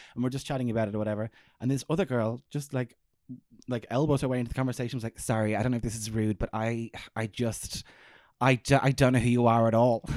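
A man with an Irish accent speaks at a medium pitch with fairly even intonation, a very fast pace and long, frequent pauses, in a very clean recording with a silent background and a dry, close sound with no echo. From Ireland. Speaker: comedian. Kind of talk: casual chat. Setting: in the host's house.

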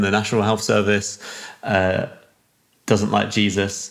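At a moderate pace, a man speaks with a fairly low pitch. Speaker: church network leader. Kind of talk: casual interview conversation.

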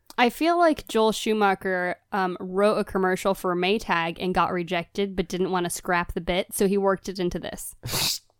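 A plain, everyday voice from a woman at medium pitch, with fairly even intonation and a moderate pace, dry and close with no echo on a very clean recording with a silent background. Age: 20s. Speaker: podcast co-host and actress. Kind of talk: casual chat.

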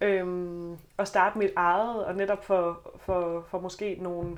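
In a slight Southern Jutland accent, a woman speaks at a medium pitch with monotone, flat intonation. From Southern Jutland, Denmark. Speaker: teacher student and student politician. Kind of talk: podcast panel discussion. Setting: studio.

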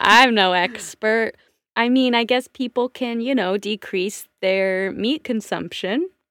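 A woman with an American accent speaks at a very slow pace, her pitch fairly high with ordinary variation. The sound is dry and close, with no echo. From Washington State. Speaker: theater performer and podcaster. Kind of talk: casual chat. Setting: remote call.

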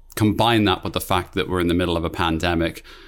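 Fairly even intonation marks this voice with a British accent, captured in a very clean recording against a silent background. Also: man. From Britain. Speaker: podcast co-host. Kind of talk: casual chat.

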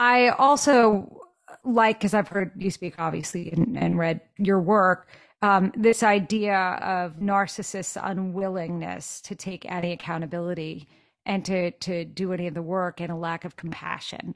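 A normal speaking voice with ordinary pitch variation talks at a fairly slow pace over a quiet background. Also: woman, medium pitch for a woman. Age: 50s. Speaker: podcast host. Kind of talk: casual chat.

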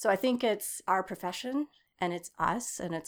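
A woman with an American accent uses a plain, everyday voice at a moderate pace with lively intonation, on a very clean recording with a silent background. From East Texas. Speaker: architecture professor. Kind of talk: interview.

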